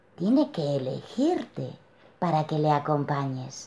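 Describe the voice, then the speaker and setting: A dark, mellow, somewhat breathy tone at a very slow pace, with very wide pitch swings. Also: woman. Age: 40s. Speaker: client sharing personal story; interviewee. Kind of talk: testimony. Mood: reflective, warm. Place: home room. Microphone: webcam.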